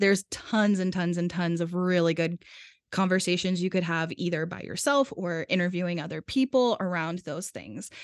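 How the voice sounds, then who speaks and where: A woman with a fairly low pitch and an unremarkable speaking voice, ordinary pitch variation and moderate pace, in a quiet background with a dry, close sound and no echo. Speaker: podcast producer and editor. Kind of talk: casual interview chat.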